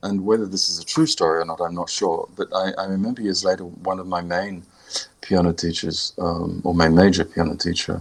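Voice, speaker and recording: At a moderate pace, the voice carries an Australian accent. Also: man. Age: 60s. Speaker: composer and pianist. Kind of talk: interview. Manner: halting.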